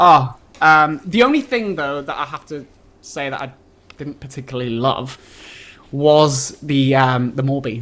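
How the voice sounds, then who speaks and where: A man with a Manchester accent at a fairly slow pace and fairly high pitch, with ordinary pitch variation, long, frequent pauses and big swings in loudness. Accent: British, Manchester. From northern England, Manchester. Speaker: travel video creator and medical student. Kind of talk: live TV interview. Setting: TV studio. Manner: animated.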